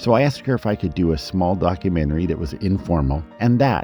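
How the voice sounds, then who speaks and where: A man talks at a very fast pace with lively intonation. Music plays in the background. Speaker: documentary producer. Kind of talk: documentary narration.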